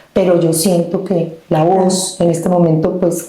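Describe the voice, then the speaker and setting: Noticeable background noise together with audible room echo. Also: woman. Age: 50s. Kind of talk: testimony interview. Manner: animated.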